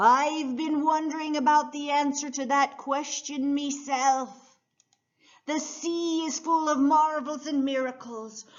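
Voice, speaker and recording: A woman's wheezy, put-on character voice. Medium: read story.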